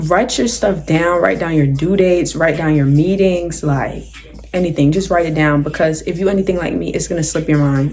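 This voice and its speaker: With music behind her and audible room echo, a woman speaks at a very deep, low pitch with ordinary pitch variation. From South Jersey, US. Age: 18. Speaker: YouTuber, college student. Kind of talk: casual Q&A vlog. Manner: animated.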